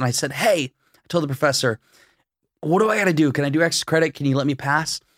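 A man with an American accent speaks with ordinary pitch variation. The sound is dry and close with no echo, and the recording is very clean with a silent background. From rural Iowa, US Midwest. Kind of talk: casual interview chat.

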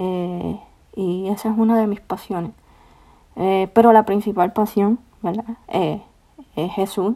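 Dark and mellow in tone, the voice holds a monotone, flat intonation at a very slow pace with long, frequent pauses. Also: woman, medium pitch for a woman. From Puerto Rico. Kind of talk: devotional podcast monologue. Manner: hesitant, many fillers.

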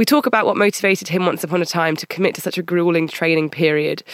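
On a very clean recording with a silent background, a woman with a British accent talks at a very fast pace in a fairly low pitch with ordinary pitch variation. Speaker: podcast host, recruiter and journalist. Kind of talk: scripted intro and outro. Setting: studio.

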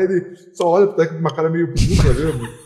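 A man talks fairly quickly as noticeable noise carries on in the background. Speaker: rock music fan. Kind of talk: casual chat. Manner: halting.

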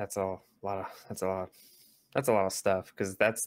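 The sound is dry and close with no echo as a man speaks in a fairly low pitch. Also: very clean recording, silent background. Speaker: podcast host. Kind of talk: casual chat.

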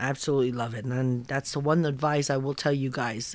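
A woman speaks in a very deep, low voice with an American accent and fairly even intonation. The recording is very clean, with a silent background. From Philippines. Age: 60s. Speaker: car dealership finance manager. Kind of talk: casual chat.

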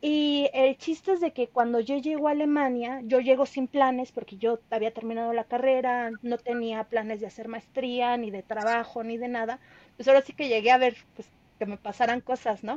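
A woman with a high voice speaks with a Mexican accent at a moderate pace. Her loudness swings widely while her pitch varies in an ordinary way. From Mexico, State of Mexico. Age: 30s. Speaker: veterinarian and traveler. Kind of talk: storytelling interview.

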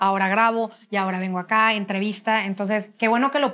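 The speaker is a woman with monotone, flat intonation. She talks at a fairly quick pace. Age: 30s. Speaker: podcast host. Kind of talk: casual interview.

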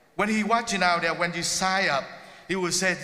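Over noticeable background noise, a man with a high voice speaks with ordinary pitch variation. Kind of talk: sermon. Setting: church.

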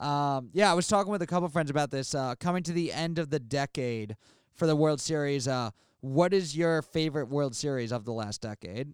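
At a fairly quick pace, a man with an American accent and an unremarkable speaking voice talks at a fairly high pitch with ordinary pitch variation, on a very clean recording with a silent background and dry, close sound with no echo. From New York, Queens. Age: 20s. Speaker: comedian and podcast host. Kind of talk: casual chat.

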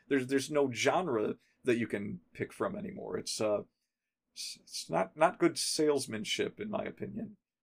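With vocal fry, a man speaks at a fairly high pitch, his voice making very wide pitch swings and big swings in loudness. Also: moderate pace. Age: 40s. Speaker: podcast host. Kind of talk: casual chat.

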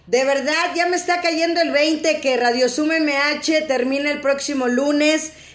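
A woman's high-pitched voice at a fairly slow pace, with audible room echo. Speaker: radio host. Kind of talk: live-streamed radio interview. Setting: online video stream.

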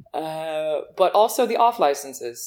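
Speaking very slowly, a woman talks in an American accent. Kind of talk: casual chat.

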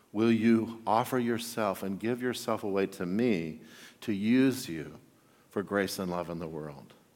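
Amid audible room echo, a man speaks at a fairly slow pace in a fairly low voice with ordinary pitch variation. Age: 50s. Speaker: pastor. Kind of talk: sermon.

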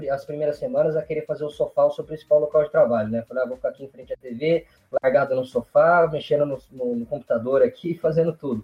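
This man talks at a very fast pace with a fairly high pitch and ordinary pitch variation. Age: 30s. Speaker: occupational safety engineer. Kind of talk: casual interview.

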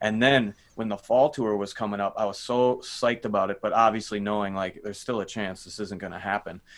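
With an American accent, a man in an ordinary speaking voice talks at a fairly quick pace with hardly any pauses, his fairly low pitch held in fairly even intonation on a very clean recording with a silent background. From Minnesota. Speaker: rock drummer. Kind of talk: casual chat.

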